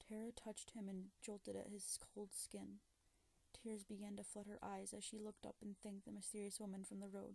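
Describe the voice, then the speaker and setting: A soft-spoken woman keeps to a moderate pace. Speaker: ASMR creator. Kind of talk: ASMR story reading, creepypasta narration.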